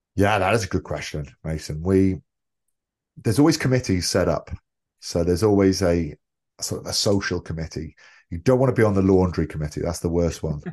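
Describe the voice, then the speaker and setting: A man with a Welsh accent speaks in a very deep, low voice at a fairly quick clip, with ordinary pitch variation, long and frequent pauses, and a quiet background. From Wales (Tenby), early childhood in London. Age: 40s. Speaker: former rugby player. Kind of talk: interview.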